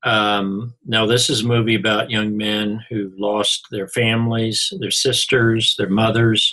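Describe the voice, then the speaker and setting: This man has a fairly low pitch and a bright, sharp tone. He speaks with an Oklahoma accent and monotone, flat intonation. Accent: central Oklahoma. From Missouri, US. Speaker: college instructor. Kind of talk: recorded lecture. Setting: online class recording.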